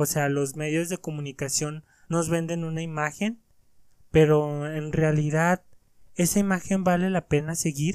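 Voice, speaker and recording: Monotone, flat intonation moves at a fairly slow pace on a very clean recording with a silent background. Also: man, fairly high pitch for a man. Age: 20s. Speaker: motivational podcaster. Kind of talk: motivational monologue.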